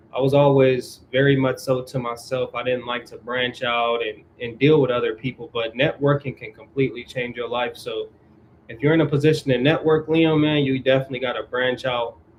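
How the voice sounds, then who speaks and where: A man at a medium pitch, fairly quick in pace, with monotone, flat intonation. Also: big swings in loudness. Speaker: YouTuber hosting a mental health livestream. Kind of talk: casual livestream chat answering viewers. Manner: fast; casual slangy delivery.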